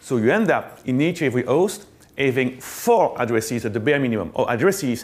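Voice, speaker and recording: A man with a French accent speaks at a moderate pace. His intonation is lively. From Belgium. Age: middle-aged. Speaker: network engineer, conference speaker; conference speaker. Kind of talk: conference talk. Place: stage. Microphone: lapel.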